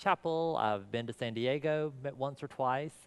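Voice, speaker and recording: Against a quiet background, the voice moves at a moderate pace with ordinary pitch variation and a slight Southern US accent. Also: man. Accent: slight southern US twang. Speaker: pastor. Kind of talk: conference talk.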